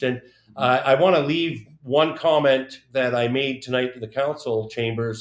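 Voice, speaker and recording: This man, with a Canadian accent, has an unremarkable speaking voice with a fairly high pitch, ordinary pitch variation and a moderate pace. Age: 60s. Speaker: former city councillor and politician. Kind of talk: casual interview on live community show. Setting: live stream studio.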